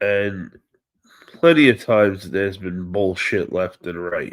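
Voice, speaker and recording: A man speaks at a fairly slow pace in a New York accent, his tone animated and his pitch swinging very widely. The recording is very clean with a silent background. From New York City (Staten Island). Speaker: wrestling livestream host. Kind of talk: casual live stream chat. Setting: live stream.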